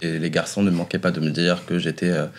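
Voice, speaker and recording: A man speaks at a fairly quick pace. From Morocco (Rabat, then Oujda, north-east). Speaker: drag artist. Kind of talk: casual interview. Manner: hesitant, many fillers.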